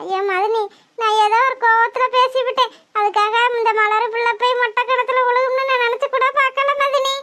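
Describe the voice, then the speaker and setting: At a fairly slow pace, a woman does a cartoonish character voice with an extremely high pitch and monotone, flat intonation. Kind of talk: melodramatic village soap acting.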